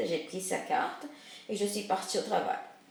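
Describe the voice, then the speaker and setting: Amid noticeable background noise and audible room echo, a woman speaks with a fairly high pitch. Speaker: multimedia community worker. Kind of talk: personal story narration.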